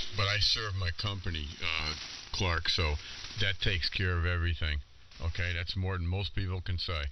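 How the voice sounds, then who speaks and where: A man's very deep, low voice at a moderate pace, fairly even in intonation, over noticeable background noise. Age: 70s. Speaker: ham radio operator. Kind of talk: casual chat. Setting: amateur radio transmission.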